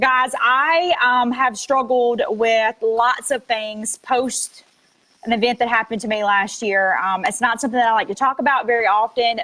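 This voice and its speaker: Bright and sharp in tone, a woman speaks with a Mississippi accent. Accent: Southern US (Mississippi). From US South, South Mississippi. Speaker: network marketing affiliate. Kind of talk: testimony. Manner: casual, many filler ums.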